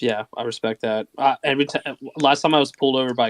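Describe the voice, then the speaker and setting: A man talks very fast in a monotone, flat delivery, recorded very cleanly against a silent background. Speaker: Twitter Spaces co-host. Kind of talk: casual chat. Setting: Twitter Spaces audio call. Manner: slurs words.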